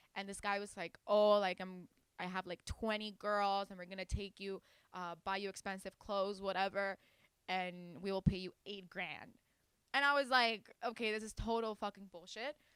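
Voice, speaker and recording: Speaking with a Spanish accent, a woman has an animated tone, a medium pitch and a moderate pace. Her loudness swings widely, and the sound is dry and close with no echo. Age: young. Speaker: singer and rapper. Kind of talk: interview, casual.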